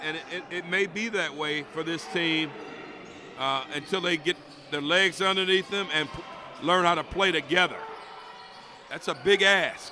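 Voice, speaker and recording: Over noticeable background noise, a man with a high pitch speaks at a moderate pace with fairly even intonation and long, frequent pauses. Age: 60s. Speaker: color commentator. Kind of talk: live commentary.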